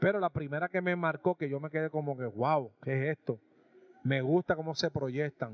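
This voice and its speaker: A man speaks at a moderate pace in a fairly high voice. His pitch varies in an ordinary way, and the sound is dry with no echo. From Puerto Rico. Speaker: sports and music show host. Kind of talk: casual on-location interview. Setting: restaurant. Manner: animated. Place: cafe. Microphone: handheld.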